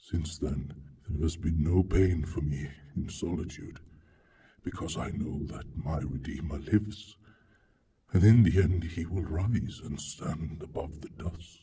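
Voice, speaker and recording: A man's put-on character voice, very deep and low in pitch, delivered at a fairly slow pace. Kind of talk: dramatic reading. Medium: read story. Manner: solemn, musing.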